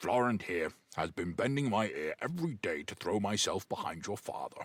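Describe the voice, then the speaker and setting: A man puts on a character voice at a medium pitch, swinging very widely in pitch at a moderate pace. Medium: read story. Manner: blunt, clipped.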